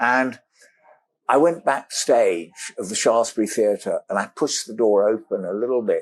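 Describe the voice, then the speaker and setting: A man speaks with a British accent. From Africa. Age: 70s. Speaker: explorer and adventurer. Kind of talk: podcast interview, storytelling. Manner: animated.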